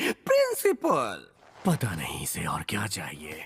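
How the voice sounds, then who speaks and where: A put-on character voice drawls along at a very slow pace. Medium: fan dub. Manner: giggling, unhinged.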